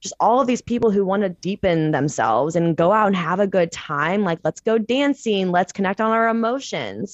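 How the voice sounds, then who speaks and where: A normal speaking voice with lively intonation, an American accent, a moderate pace and hardly any pauses. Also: woman, medium pitch for a woman. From Missouri, St. Louis. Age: 20s. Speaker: personal trainer and meditation coach. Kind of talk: casual chat.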